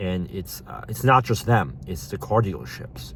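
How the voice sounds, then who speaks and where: A man's voice with very wide pitch swings against noticeable background noise. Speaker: unemployed vlogger. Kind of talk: vlog rant. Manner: angry, repetitive; whispering.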